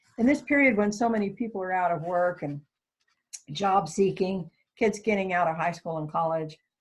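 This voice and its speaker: Somewhat breathy, a woman talks at a moderate pace and medium pitch with lively intonation. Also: long, frequent pauses. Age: 60s. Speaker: worship associate. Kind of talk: sermon. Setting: recorded worship service.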